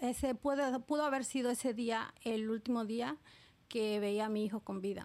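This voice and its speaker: A woman talks in an unremarkable speaking voice. Her pitch is fairly high, and her intonation fairly even. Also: very clean recording, silent background. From Oaxaca, Mexico. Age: 30s. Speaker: immigrant. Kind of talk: testimony.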